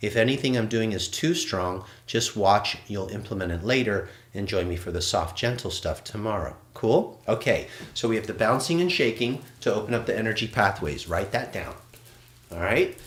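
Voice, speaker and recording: A man speaks at medium pitch with ordinary pitch variation. His tone is animated and somewhat breathy. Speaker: qigong instructor. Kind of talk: live online movement class. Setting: livestream. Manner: fast.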